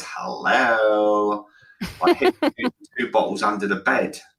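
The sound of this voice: A man puts on a raspy, sinister character voice, speaking very slowly at a fairly low pitch.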